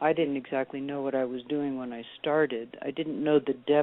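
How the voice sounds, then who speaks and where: A woman with a very deep, low pitch speaks in a monotone, flat intonation. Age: 60s. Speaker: author and former college teacher. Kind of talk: interview. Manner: halting, with frequent fillers and restarts.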